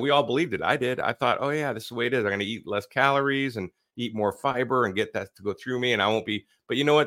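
Very fast speech from a man, medium in pitch, with ordinary variation in pitch. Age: 50s. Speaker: podcast host, army veteran. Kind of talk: casual interview chat.

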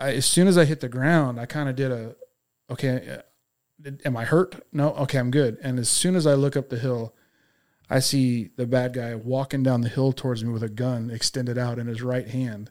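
A plain, everyday voice at a moderate speed, intonation fairly even. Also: man, medium pitch for a man. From Texas. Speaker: police officer. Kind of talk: testimony.

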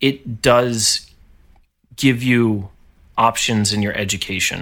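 On a very clean recording with a silent background, a man with an American accent speaks at a medium pitch. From upstate New York, Poughkeepsie area. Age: 30s. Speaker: orchestral trombonist. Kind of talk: casual interview chat. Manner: halting, many fillers and repetitions.

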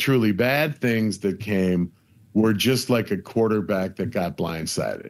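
A man with an American accent speaks at a fairly slow pace in a plain, everyday voice, his fairly low pitch showing ordinary variation, on a very clean recording with a silent background. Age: 60s. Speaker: comedian and TV producer. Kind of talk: casual interview.

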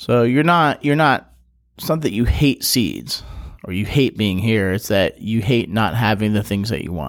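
An unremarkable speaking voice from a man comes at a medium pitch and moderate pace with lively intonation, on a very clean recording with a silent background. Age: 30s. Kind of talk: casual interview.

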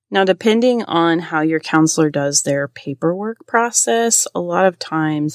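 A woman's normal speaking voice, fairly low in pitch, at a moderate pace, in a very clean recording with a silent background and a dry, close sound with no echo. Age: 40s. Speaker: counselor and podcast host. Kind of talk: solo educational podcast monologue.

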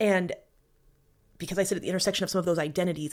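This woman's voice sits at medium pitch. The recording is very clean, with a silent background. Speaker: podcast host. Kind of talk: interview, answering questions.

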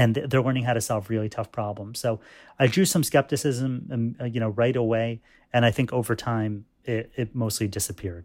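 Speaking at a fairly quick pace with an American accent, a man uses an ordinary speaking voice at medium pitch with ordinary pitch variation. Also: very clean recording, silent background. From US Northeast, New York State (Fishkill). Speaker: chemistry professor. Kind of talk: interview.

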